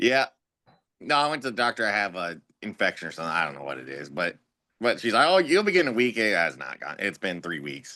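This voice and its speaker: A man speaks very fast with vocal fry, a bright, sharp tone and very wide pitch swings. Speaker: sports podcast co-host. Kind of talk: casual chat.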